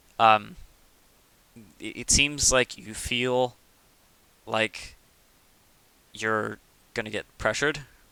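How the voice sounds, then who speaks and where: Speaking at a very slow pace, a man with a medium pitch leaves long, frequent pauses. His tone is bright and sharp, his intonation fairly even, and his loudness swings widely. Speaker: video game coach. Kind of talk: gameplay review commentary. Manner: casual, halting with fillers.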